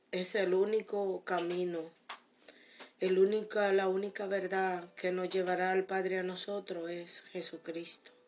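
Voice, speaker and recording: This woman talks at a fairly slow pace. Her medium-pitched voice stays monotone, with flat intonation. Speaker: preacher. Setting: radio recording studio. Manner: fervent, earnest and warm; declarative, repeating key phrases with pious exclamations.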